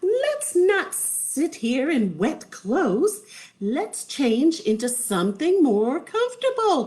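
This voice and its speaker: This female-sounding voice is a put-on character voice, pitched high and swinging very widely in pitch at a very slow pace. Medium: read story.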